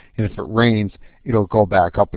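A man talks in a normal speaking voice with an American accent. His pitch is fairly low and his pace moderate. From Wisconsin. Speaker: university lecturer. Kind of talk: webinar lecture. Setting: online webinar. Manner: casual, with frequent fillers.

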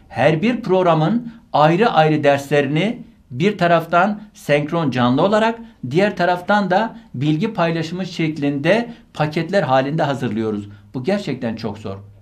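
Over a quiet background, a man talks at a fairly slow pace. His fairly high pitch moves in very wide swings. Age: 40s. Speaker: university rector and medical professor; medical professor. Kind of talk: online lecture. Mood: earnest, admonishing. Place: studio. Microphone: studio mic.

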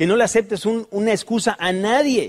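The recording is very clean with a silent background. The voice has an animated tone. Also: man. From Mexico City. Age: 40s. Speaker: motivational speaker. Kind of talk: motivational talk.

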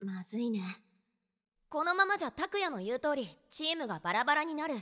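On a very clean recording with a silent background, a woman performs a cartoonish character voice, high-pitched with big swings, a bright, sharp tone, and a fairly quick pace.

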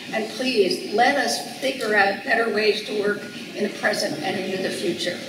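The speech moves at a moderate pace. Noticeable background noise and audible room echo run through the recording. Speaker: archaeologist, event host. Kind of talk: speaker introduction. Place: hall.

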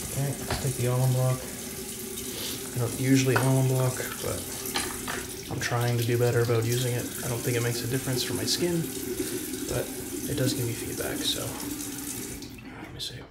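A man speaks with long, frequent pauses. Loud noise fills the background. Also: moderate pace. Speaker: shaving vlogger. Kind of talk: casual vlog chat. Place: bathroom. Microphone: phone near.

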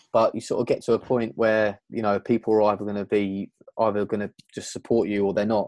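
With a southern English accent, a man speaks very fast at a fairly low pitch in a flat monotone, recorded dry with no echo against a quiet background. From southern England, outside London. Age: 20s. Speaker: events sound and lighting technician; podcast guest. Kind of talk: interview. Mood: candid, reflective, lightly amused. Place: home room. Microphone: earbuds.

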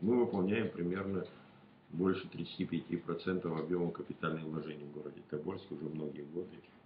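Light background noise sits behind a man's very deep, low voice. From rural Russia. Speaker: regional deputy. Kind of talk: interview answers; interview answer. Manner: halting, many fillers. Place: meeting room. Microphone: camera far.

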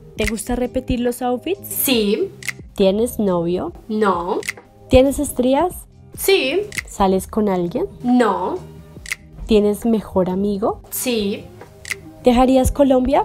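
A woman speaks with long, frequent pauses. Faint music sits in the background. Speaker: vlogger. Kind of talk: casual vlog chat. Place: home room. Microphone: camera far.

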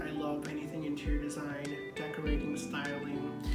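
The speech moves at a moderate pace over loud music in the background. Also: man. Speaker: DIY home decor creator. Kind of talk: casual vlog chat. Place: home room. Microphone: camera far.

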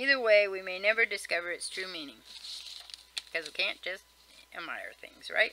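A woman at a medium pitch, with ordinary pitch variation, leaves long, frequent pauses and her loudness swings widely. The sound is dry with no echo, with noticeable background noise. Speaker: vlogger. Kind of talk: casual reading aloud of a list article with comments. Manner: fast. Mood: casual, mildly wry. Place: home room. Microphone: webcam.

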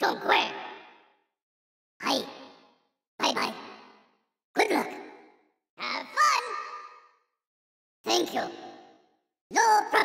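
A raspy, put-on character voice moves at a fairly slow pace with long, frequent pauses. Sound effects play in the background. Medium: dub.

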